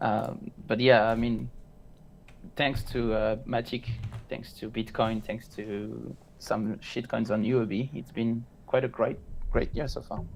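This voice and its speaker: A man with a French accent and vocal fry speaks at a fairly slow pace, leaving long, frequent pauses. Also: medium pitch for a man, fairly even intonation. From France. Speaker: crypto trader. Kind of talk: casual chat.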